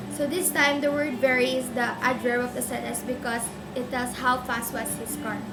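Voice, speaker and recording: Over noticeable background noise, a woman speaks at a high pitch. Her intonation is monotone and flat. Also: moderate pace. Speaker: student. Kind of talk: educational explainer for a school project. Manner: hesitant, stuttering.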